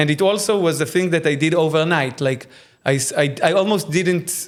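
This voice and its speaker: The speaker has an Israeli accent and a fairly quick pace with ordinary pitch variation. The recording is very clean, with a silent background. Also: man. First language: Hebrew. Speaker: AI filmmaker. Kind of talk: casual interview. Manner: halting.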